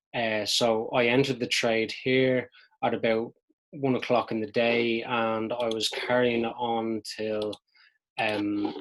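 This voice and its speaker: A man with a medium-pitched voice speaks in a monotone, flat way. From Dublin, Ireland. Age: 20s. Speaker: amateur forex trader. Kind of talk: casual talk to camera, trading recap.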